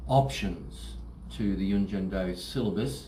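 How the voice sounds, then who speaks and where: A man with a very deep, low pitch, a dark, mellow tone and vocal fry speaks at a fairly slow pace in an Australian accent, with audible room echo. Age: 60s. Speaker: martial arts instructor. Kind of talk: promotional talk to camera. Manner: halting, many fillers.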